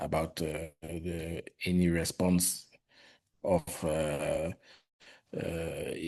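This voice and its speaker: In a French accent, a man speaks with a very deep, low pitch and a dark, mellow tone. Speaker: public health worker, Ebola responder. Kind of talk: presentation. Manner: halting.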